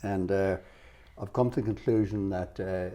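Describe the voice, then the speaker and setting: With an Irish accent, a man speaks very fast in a fairly low pitch with a dark, mellow tone. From Ireland. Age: 70s. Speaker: financial adviser. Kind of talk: interview.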